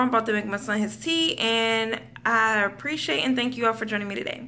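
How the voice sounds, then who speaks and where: The delivery moves at a fairly quick pace. Its intonation stays fairly even. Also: woman. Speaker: stay-at-home mother vlogger. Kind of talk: casual vlog chat. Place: home room. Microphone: phone near.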